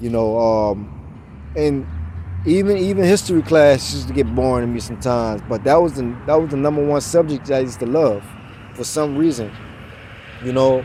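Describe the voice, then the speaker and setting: With noticeable background noise behind him, a man of medium pitch talks at a moderate pace with lively intonation. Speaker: motivational vlogger. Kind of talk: casual motivational monologue. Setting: outdoors, walking. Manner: stutters, halting.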